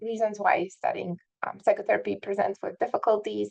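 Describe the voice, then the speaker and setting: A woman is speaking. She has a Polish accent. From southern Poland. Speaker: psychiatry professor. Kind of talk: lecture. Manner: hesitant, many fillers.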